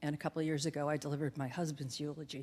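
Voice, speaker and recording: A woman with a very deep, low voice races along at a very fast pace in a monotone, flat delivery. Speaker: family representative giving commencement speech. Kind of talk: commencement speech. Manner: wavering.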